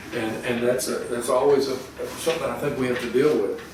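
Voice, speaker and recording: Noticeable background noise and audible room echo surround a man's voice. He talks at a moderate pace. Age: 60s. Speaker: rural equipment dealership co-owner. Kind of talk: interview. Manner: halting, many fillers and restarts.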